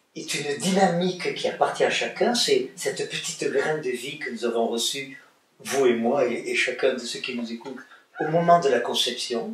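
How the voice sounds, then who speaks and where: A moderate pace, with audible room echo. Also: man. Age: 70s. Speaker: author and psychosociologist. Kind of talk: interview.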